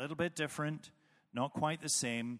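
In a Northern Irish accent, a man with a fairly high voice and ordinary pitch variation speaks on a very clean recording with a silent background. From Northern Ireland.

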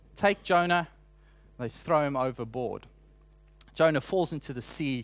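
Someone with a South African accent speaks at a fairly slow pace with ordinary pitch variation. The background is quiet. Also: man. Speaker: preacher. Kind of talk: sermon.

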